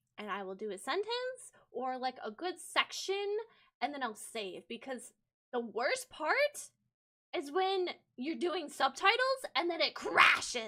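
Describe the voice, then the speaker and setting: In an American accent, a woman's raised, projected voice rings out high-pitched with a bright, sharp tone and very wide pitch swings. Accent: American, specific regional. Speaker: vtuber streamer. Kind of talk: live stream editing tutorial. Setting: live stream. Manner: casual, with filler words.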